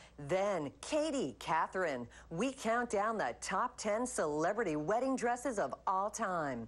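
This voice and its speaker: A woman with an American accent speaks fairly slowly at a medium pitch, with some vocal fry. Her pitch swings very widely, and the recording is very clean with a silent background. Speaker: voice announcer. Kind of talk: TV promo read.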